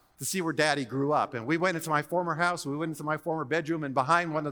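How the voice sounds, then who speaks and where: Very fast and animated, a man speaks in a bright, sharp tone at a fairly high pitch, with ordinary pitch variation. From Hawaii. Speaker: seminary professor and preacher. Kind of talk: sermon.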